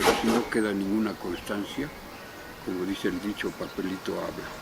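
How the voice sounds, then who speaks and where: Over background music and audible room echo, a man speaks at a moderate pace in a fairly low pitch with fairly even intonation. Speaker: former political opponent. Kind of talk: interview.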